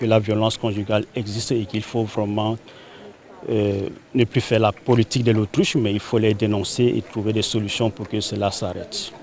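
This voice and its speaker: A man with a Central African accent, fairly low pitch and monotone, flat intonation. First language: Baya (speaking French). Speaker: association leader and film promoter. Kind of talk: interview statement. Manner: halting.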